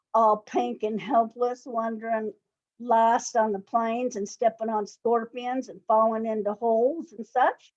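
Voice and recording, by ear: Reading aloud in a natural voice, with fairly even intonation against a quiet background.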